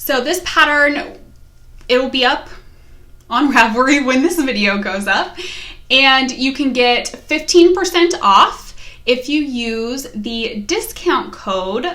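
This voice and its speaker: With a slight West Virginia accent, a raised, projected voice speaks at a very slow pace with lively intonation and audible room echo. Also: woman, high pitch for a woman. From US, West Virginia. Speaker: knitting podcaster. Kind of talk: casual vlog chat.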